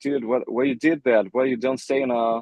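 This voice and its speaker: Fairly even intonation with a slight non-native accent. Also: man. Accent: slight foreign. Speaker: rock band lead singer. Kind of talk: interview. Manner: halting.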